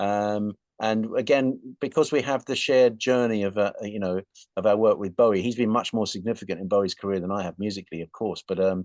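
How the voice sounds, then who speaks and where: A voice with an English accent, ordinary pitch variation and a fairly quick pace, dry and close with no echo, over a quiet background. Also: man, fairly low pitch for a man. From England. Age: 60s. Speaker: rock guitarist. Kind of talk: interview. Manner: halting.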